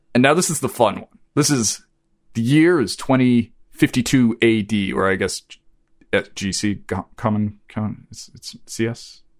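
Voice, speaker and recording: In an unremarkable speaking voice, a man talks at medium pitch and a moderate pace, with ordinary pitch variation and big swings in loudness. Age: 40s. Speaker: podcast host. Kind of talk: casual chat. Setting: remote recording.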